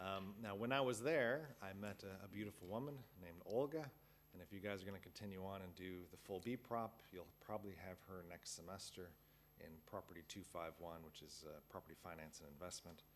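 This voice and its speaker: The loudness jumps around a lot. Pitch varies in an ordinary way at a fairly quick pace. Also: man, very deep, low pitch for a man. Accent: American. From US Midwest, Chicago suburbs. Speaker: university lecturer. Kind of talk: lecture. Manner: casual, many fillers.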